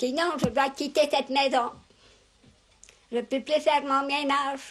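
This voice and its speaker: Her pitch high and her intonation flat and monotone, a woman speaks at a very slow pace. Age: 80s+. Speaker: elderly rural interviewee. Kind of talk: interview. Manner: halting.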